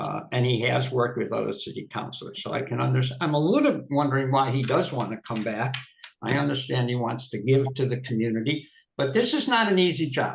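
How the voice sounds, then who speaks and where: With audible room echo, a man talks at a fairly quick pace, his medium pitch carrying vocal fry and ordinary pitch variation. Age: 70s. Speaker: city council candidate. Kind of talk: political debate. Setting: video call.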